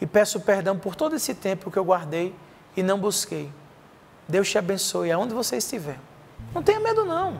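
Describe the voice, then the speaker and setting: Over noticeable background noise, a man with a high pitch and lively intonation talks at a moderate pace, leaving long, frequent pauses. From Brazil, Paraíba (João Pessoa). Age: 40s. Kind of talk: sermon.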